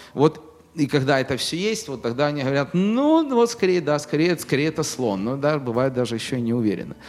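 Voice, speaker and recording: There is noticeable background noise as a man speaks at a fairly quick pace. His pitch is fairly high and his intonation lively. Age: 40s. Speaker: business owner. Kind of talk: interview. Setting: studio.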